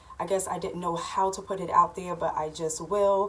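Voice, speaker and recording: Moving at a fairly quick pace, a woman speaks at a medium pitch. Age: 30s. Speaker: vlogger. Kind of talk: casual chat. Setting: at home. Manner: casual, with fillers.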